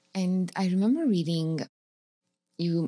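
With ordinary pitch variation, a woman talks in a very clean recording over a silent background. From Romania. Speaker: podcast host. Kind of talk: interview.

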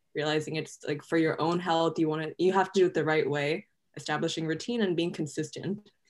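A woman with an unremarkable speaking voice talks at a fairly quick pace. Her pitch is fairly low and her intonation fairly even. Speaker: pre-med student, nonprofit co-founder. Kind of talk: interview.

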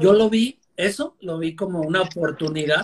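High pitch for a man, with ordinary rises and falls in tone. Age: 40s. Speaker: meat importer and online seller. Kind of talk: interview.

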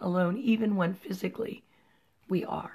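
Pitch shifts in an ordinary way here. There is a somewhat breathy quality to the voice. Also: woman. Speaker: podcast co-host and writer. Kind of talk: casual chat.

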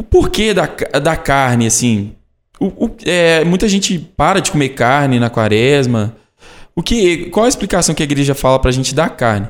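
In a very clean recording with a silent background, a man speaks at a moderate pace. His fairly high voice moves through very wide pitch swings. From Brazil, Caeté, Minas Gerais. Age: 20s. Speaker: sanctuary staff member asking questions. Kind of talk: casual Q&A conversation.

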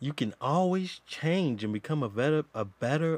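A man talks in an animated tone with lively intonation. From Georgia. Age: 50s. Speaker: podcast host. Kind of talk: casual chat. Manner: animated, laughing.

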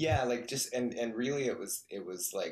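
A man with a Western US accent at a moderate pace. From Utah, Salt Lake City. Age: 40s. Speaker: ultra endurance athlete. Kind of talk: casual interview chat.

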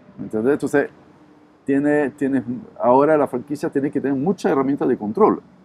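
A man with a dark, mellow tone and fairly high pitch, at a moderate pace with ordinary pitch variation and long, frequent pauses, in a dry, close sound with no echo. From southern France, Montpellier. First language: French (speaking Spanish). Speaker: restaurant entrepreneur. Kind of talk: interview. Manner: halting with fillers.

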